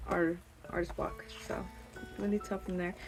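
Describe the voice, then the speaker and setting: A woman talks with a non-native accent while music plays in the background. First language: not English. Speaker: artist vlogger. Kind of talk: casual chat. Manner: rambling with many fillers.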